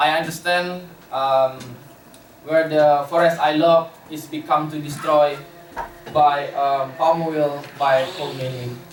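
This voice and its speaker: A man with an Indonesian accent speaks very slowly in a monotone, flat delivery. Noticeable background noise and audible room echo surround him. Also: fairly high pitch for a man. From Indonesia, West Kalimantan (Borneo). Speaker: conservation worker. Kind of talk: lecture. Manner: halting, many fillers.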